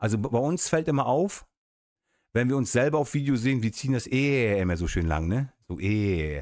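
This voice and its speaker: In a dry sound with no echo and a quiet background, a man at medium pitch talks at a moderate pace with very wide pitch swings. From Mecklenburg coast, northeast Germany. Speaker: YouTuber, urban explorer; YouTuber. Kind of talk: casual livestream chat. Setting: home office livestream. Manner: chatty, hesitant with fillers. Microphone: studio mic.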